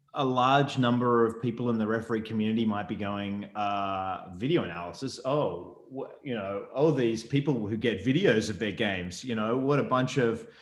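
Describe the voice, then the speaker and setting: In a room with audible echo, a man talks at a moderate pace in a medium pitch with ordinary pitch variation. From Australia. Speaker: rugby referee educator. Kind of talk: presentation interview. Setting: video call. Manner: hesitant, many fillers.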